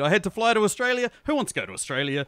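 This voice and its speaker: Speaking very fast with very wide pitch swings, this voice carries a New Zealand accent over noticeable background noise. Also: man. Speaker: podcaster, movie reviewer. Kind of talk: casual chat. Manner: animated.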